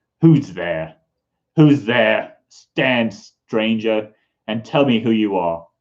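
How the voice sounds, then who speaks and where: A man puts on a growling character voice at a medium pitch. He speaks at a very slow pace. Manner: menacing, demanding.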